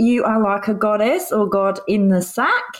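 She has an Australian accent. Her pitch is fairly high. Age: 40s. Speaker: podcast co-host. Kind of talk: casual chat.

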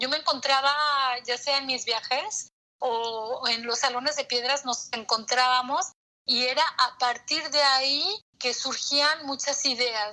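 Pitched high, a woman speaks in a raised, projected voice with a bright, sharp tone. She talks at a very slow pace with ordinary pitch variation. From Mexico. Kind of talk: interview.

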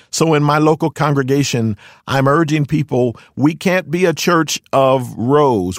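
A man with a plain, everyday voice and an American accent speaks at a fairly slow pace with ordinary pitch variation. The sound is dry and close with no echo, on a very clean recording with a silent background. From Philadelphia, US. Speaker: pastor. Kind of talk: interview. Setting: studio.

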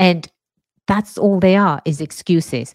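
Recorded very cleanly with a silent background and a dry, close sound without echo, a woman with an English accent speaks fairly slowly in a fairly low pitch, her pitch varying in an ordinary way. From England. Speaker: lawyer and podcast host. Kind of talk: solo podcast monologue.

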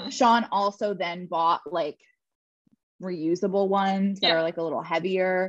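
Speaking in an American accent, a woman has a medium pitch and ordinary pitch variation. Her pace is moderate. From Philadelphia. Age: 30s. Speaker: podcast co-host. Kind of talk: casual chat.

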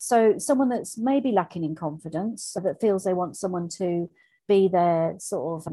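In an English accent, a woman speaks at a medium pitch with a dark, mellow tone against a quiet background. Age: 50s. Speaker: coach and mentor. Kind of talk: interview.

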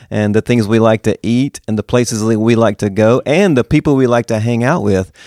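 A man's fairly low voice with a Southern US accent and ordinary pitch variation, on a very clean recording with a silent background. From Mississippi. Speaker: pastor and author. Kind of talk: interview.

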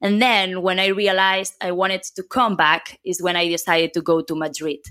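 In a very clean recording with a silent background, a woman with a Catalan accent speaks at a medium pitch in a bright, sharp tone. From Catalonia, Spain (near Barcelona). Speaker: software consultant. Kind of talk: interview.

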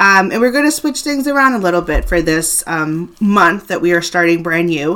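The woman's voice has a bright, sharp tone. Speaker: podcast host. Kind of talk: casual chat.

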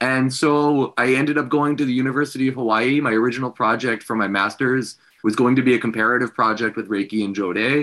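A man with a plain, everyday voice, medium pitch and ordinary pitch variation, at a fairly quick pace against a quiet background. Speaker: academic and Reiki practitioner. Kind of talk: interview conversation. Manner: friendly, laughs often.

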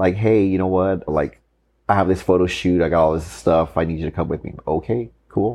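Very deep and low, a man's voice moves at a moderate pace with fairly even intonation. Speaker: co-host, husband. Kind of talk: casual chat. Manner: loud.

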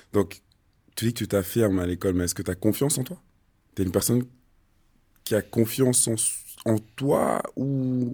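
On a very clean recording with a silent background, a man with a dark, mellow tone speaks at a medium pitch and moderate pace, leaving long, frequent pauses. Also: ordinary pitch variation. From Switzerland. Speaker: podcast host, former footballer. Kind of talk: casual interview.

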